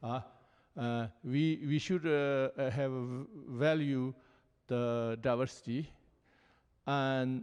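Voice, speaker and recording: The background is quiet as a man speaks. His pitch is fairly high, with ordinary pitch variation. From Tibet. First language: Tibetan. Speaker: Buddhist teacher. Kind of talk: panel dialogue. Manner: halting.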